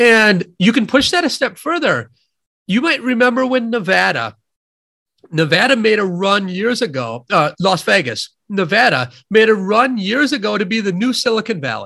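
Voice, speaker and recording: In a raised, projected voice, a man with an American accent and a high pitch speaks at a moderate pace, with lively intonation and a bright, sharp tone. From US Midwest, near Madison, Wisconsin. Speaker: economist, professor and author. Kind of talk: interview.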